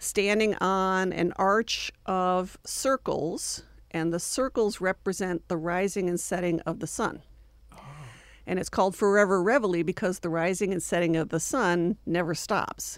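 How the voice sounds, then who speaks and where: In a very clean recording with a silent background, an unremarkable speaking voice with an American accent moves at a fairly slow pace with ordinary pitch variation. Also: woman, medium pitch for a woman. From New York State, Finger Lakes area. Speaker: university art gallery director. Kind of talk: radio interview. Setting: radio studio.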